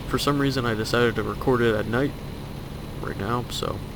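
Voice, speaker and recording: There is noticeable background noise. A man speaks through it at a fairly quick pace. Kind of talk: casual gameplay commentary. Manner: hesitant, filler-heavy.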